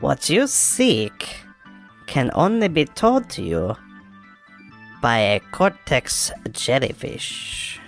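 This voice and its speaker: Clear music plays behind a put-on character voice at a low-to-middle pitch. It goes very slowly, with long, frequent pauses. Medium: actual play. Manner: sly, broken grammar.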